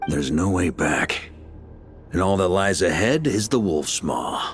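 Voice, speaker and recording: Clear music plays behind a man doing a put-on character voice, very deep and low, at a moderate pace with very even loudness and lively intonation. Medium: video game. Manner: confident, easygoing.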